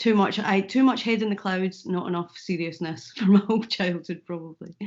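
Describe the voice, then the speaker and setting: At a fairly quick pace, a woman with a Scottish accent speaks at a medium pitch. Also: ordinary pitch variation. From Scotland, Falkirk. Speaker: comedian and YouTuber. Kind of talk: interview.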